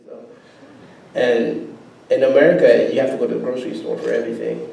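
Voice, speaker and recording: Noticeable background noise and audible room echo fill the recording. A man talks at a fairly quick pace. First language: non-English African language. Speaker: immigrant interviewee. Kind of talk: personal interview testimony. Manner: casual, hesitant with fillers.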